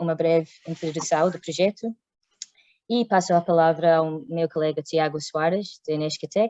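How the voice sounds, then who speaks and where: A woman speaks with a non-native accent. Her voice is fairly low, and her intonation stays fairly even. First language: not Portuguese (speaking Portuguese). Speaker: workshop moderator. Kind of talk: workshop introduction. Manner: halting, many hesitations.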